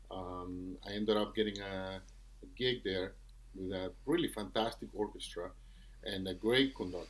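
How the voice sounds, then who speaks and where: Speaking with a Venezuelan accent, a man keeps a moderate pace. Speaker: trombonist and music professor. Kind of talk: podcast interview.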